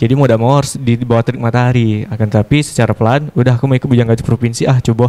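Delivered at a very fast pace with hardly any pauses, the voice has a dark, mellow tone, monotone, flat intonation and very even loudness. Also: man. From Batanghari, Jambi, Indonesia; Jambi, Indonesia. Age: 20s. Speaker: pageant winner, martial artist; guest. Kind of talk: TV talk show interview. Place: studio. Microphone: handheld.

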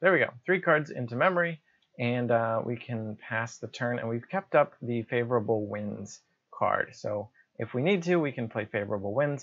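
Against a quiet backdrop, a man's speech moves at a moderate pace. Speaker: gamer explaining play. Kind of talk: commentary. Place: home room.

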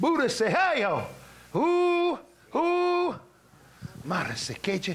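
Noticeable background noise sits behind a man speaking at a fairly slow pace. His tone is warm, with very wide pitch swings. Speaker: preacher. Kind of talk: revival sermon with prayer for the sick. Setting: church revival meeting with live congregation. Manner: warm, conversational, laughing between exhortations.

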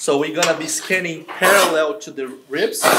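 Fairly slow speech over loud background noise. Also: man. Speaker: veterinarian demonstrator. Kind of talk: tutorial. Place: farm machine. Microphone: lapel.

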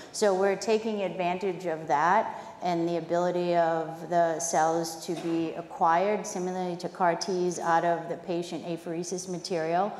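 Over music in the background, a woman with an American accent talks at a moderate pace in a fairly low, monotone, flat voice, with hardly any pauses and audible room echo. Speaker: biotech chief scientific officer. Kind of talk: conference panel discussion. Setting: stage with audience.

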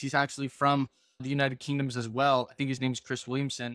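A man is speaking. The sound is dry with no echo, and the background is quiet. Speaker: podcast host. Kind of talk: casual podcast conversation. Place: home room. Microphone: video call.

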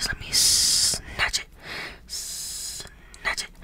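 Whispering and soft-spoken, a woman talks at a very slow pace against noticeable background noise. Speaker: ASMR creator. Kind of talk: soft ASMR role-play whispering. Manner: soft close-mic ASMR whisper. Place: home room. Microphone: studio mic.

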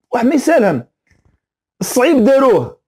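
Extremely high-pitched man in an Algerian accent with an animated tone, against a quiet background. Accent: Algerian Arabic with French words. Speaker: football commentator YouTuber; sports commentator. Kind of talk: opinion rant video. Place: home room. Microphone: lapel.

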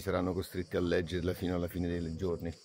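Light background noise is present. The sound is dry, with no echo. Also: man. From Naples, Italy. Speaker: actor. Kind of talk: interview answer. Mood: calm, reflective. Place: garden. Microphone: phone near.

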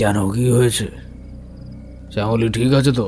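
Over clear music in the background, a man puts on a shaky character voice at a medium pitch, keeping a moderate pace and monotone, flat intonation. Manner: trembling, anxious.

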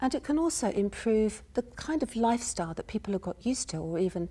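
A woman talks at a fairly quick pace with hardly any pauses, her dark, mellow tone somewhat breathy and her intonation lively. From UK. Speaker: university professor, health and social care researcher; speaker. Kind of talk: academic lecture / conference presentation. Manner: soft-spoken, measured. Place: stage.

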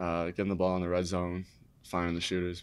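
Very deep, low pitch from a man. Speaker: college basketball player. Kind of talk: press conference. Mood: relaxed, smiling after a win. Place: meeting room. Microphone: podium.

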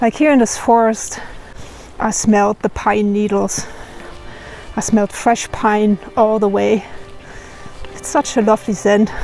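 A woman speaks at a fairly slow pace with fairly even intonation and long, frequent pauses. The sound is dry with no echo, and faint music plays in the background. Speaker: hiker vlogger. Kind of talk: casual vlog chat. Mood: warm, wistful, delighted.

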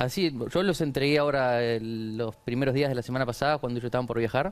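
Speaking at a very fast pace, a man keeps to ordinary pitch variation. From Argentina, Chaco. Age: 20s. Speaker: entrepreneur, shoe brand founder; guest. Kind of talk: TV interview. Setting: TV studio. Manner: halting, many repetitions and fillers. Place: studio. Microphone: lapel.

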